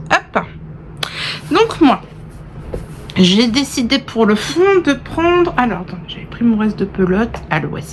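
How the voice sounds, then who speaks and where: A woman with a fairly high voice speaks at a fairly slow pace, with long, frequent pauses, very wide pitch swings and big swings in loudness, over noticeable background noise. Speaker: knitting vlogger. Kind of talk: casual vlog chat. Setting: indoors in a holiday rental.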